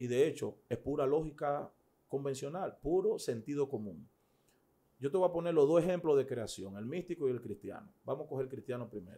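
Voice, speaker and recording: Here a man speaks with a dark, mellow tone. His delivery is fairly quick, with lively intonation. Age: 40s. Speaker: pastor; pastor, interview guest. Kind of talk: interview. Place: studio. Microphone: studio mic.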